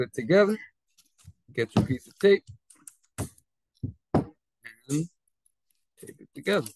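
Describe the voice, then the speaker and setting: Somewhat breathy and fairly high-pitched, a man speaks at a fairly slow pace with long, frequent pauses, very wide pitch swings and big swings in loudness, in a dry, close sound with no echo. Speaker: teacher. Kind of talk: tutorial.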